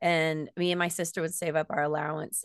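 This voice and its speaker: Over a quiet background, a speaker with an American accent talks in a monotone, flat way, the sound dry and close with no echo. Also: woman. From US Florida. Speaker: band singer. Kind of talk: casual interview chat.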